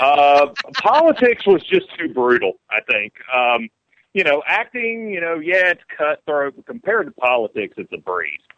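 A man with a strong Southern US accent talks at a high pitch for a man, with very wide pitch swings and big swings in loudness. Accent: southern drawl, strong. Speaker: actor. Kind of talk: casual interview chat.

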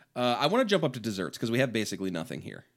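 The recording is very clean with a silent background. A man with a medium pitch uses an ordinary speaking voice with lively intonation. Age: 30s. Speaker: comedy podcast co-host. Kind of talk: casual chat.

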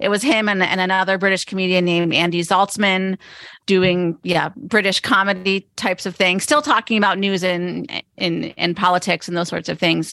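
Against a quiet background, a woman with an American accent speaks at a moderate pace and medium pitch, her bright, sharp tone showing ordinary pitch variation. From eastern Pennsylvania (Pottsville). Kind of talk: casual interview.

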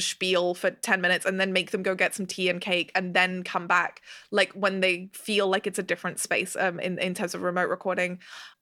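Bright and sharp in tone, a woman's medium-pitched voice moves at a fairly quick pace on a very clean recording with a silent background. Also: hardly any pauses. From grew up abroad incl. Australia and Hong Kong, British family. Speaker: audio drama director and writer. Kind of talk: casual interview chat. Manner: animated, frequent laughter and fillers.

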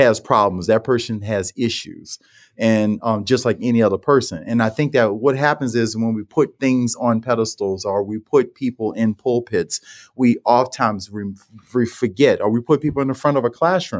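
At a moderate pace, a man speaks with a New Orleans accent in a medium pitch, with ordinary pitch variation and a dry, close sound with no echo. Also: very clean recording, silent background. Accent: New Orleans American English. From New Orleans, US South. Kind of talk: interview conversation.

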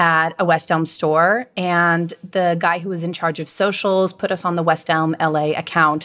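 A woman with an American accent talks at a fairly low pitch and moderate pace. Her intonation is monotone and flat, in a very clean recording with a silent background. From Virginia. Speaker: candle company co-founder. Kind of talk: interview conversation.

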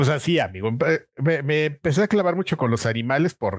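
A man speaks fairly quickly with lively intonation. The recording is very clean and dry, close, with a silent background and no echo. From Mexico City. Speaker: video game magazine editor. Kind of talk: casual interview chat.

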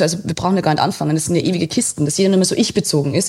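A woman speaks with a fairly low pitch and a dark, mellow tone. Her intonation stays fairly even. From Austria, Waldviertel (Lower Austria). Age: 30s. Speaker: journalist. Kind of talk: casual interview.

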